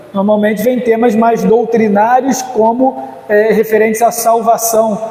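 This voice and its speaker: Over noticeable background noise and audible room echo, a man with a high-pitched voice speaks at a moderate pace. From Rio de Janeiro, Brazil. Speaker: pastor. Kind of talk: conference lecture. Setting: church conference. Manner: hesitant fillers.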